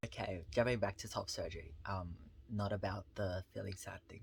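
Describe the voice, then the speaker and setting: A somewhat breathy man's voice, fairly low in pitch, at a moderate pace with fairly even intonation, on a very clean recording with a silent background. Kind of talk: casual talk to camera.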